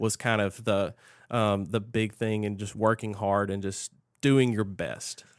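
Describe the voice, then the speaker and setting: At a fairly slow pace and fairly low pitch, a man with a Southern US accent speaks with fairly even intonation on a very clean recording with a silent background. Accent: Southern American. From Mississippi, USA. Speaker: sports management professor. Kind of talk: podcast interview answer.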